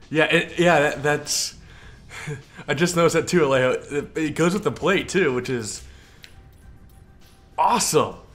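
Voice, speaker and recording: Over music in the background, a man with an American accent talks at a moderate pace and fairly high pitch, with ordinary pitch variation and long, frequent pauses. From California. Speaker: video game streamer. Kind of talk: live stream gameplay commentary. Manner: halting, repeats words.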